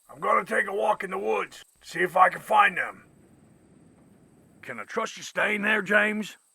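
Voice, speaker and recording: A man's raspy, high-pitched put-on character voice at a moderate pace, with long and frequent pauses and big swings in loudness. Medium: short film.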